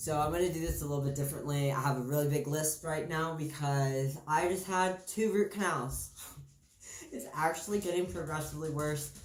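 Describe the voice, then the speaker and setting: Noticeable background noise runs under a man who speaks at a fairly quick pace. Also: ordinary pitch variation. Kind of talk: casual talk to camera.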